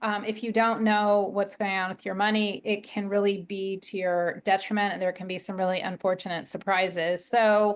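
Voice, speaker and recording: An unremarkable speaking voice moves at a moderate pace with fairly even intonation over a quiet background. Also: woman. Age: 50s. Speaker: leadership coach. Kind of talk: interview.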